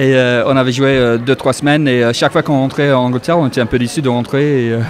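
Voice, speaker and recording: Speaking at a very fast pace, a man with a strong English accent keeps a medium pitch and fairly even intonation. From northern England, Yorkshire. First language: English (speaking French). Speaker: musician, pianist. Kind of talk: radio interview. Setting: live radio show at a club with audience. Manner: halting, many hesitations.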